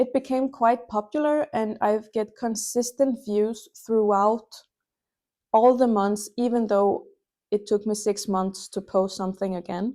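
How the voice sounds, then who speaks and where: On a very clean recording with a silent background, a woman's fairly high, dark, mellow voice keeps a fairly even intonation. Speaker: small knitting youtuber. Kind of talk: casual vlog talk with screen walkthrough. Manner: casual with fillers and self-corrections.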